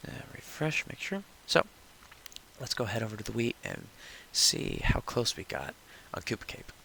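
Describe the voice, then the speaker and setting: Amid noticeable background noise, a man speaks at a moderate pace with long, frequent pauses and big swings in loudness. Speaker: gaming tutorial youtuber. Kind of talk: tutorial. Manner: casual, with fillers; whispering.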